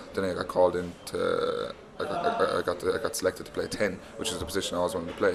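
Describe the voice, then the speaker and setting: A man talks at a very fast pace with an Irish accent, and noticeable background noise is present. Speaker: professional rugby player. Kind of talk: interview. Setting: university, over tea.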